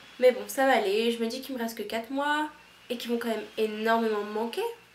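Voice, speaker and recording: Speaking fairly quickly, a woman with a fairly high pitch talks in a strong Toulouse accent. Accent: strong southern French (Toulouse). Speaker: au pair vlogger. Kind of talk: casual vlog monologue. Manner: animated, casual.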